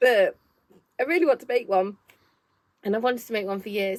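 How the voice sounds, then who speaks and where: A woman speaks with a Nottingham accent. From Nottingham, England. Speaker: knitting shop owner and crafting vlogger. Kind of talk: casual chat.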